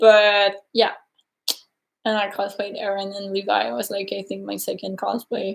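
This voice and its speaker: A woman with a strong French Canadian accent and fairly high pitch speaks at a moderate pace with fairly even intonation. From Quebec, Canada. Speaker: cosplayer. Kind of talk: casual chat.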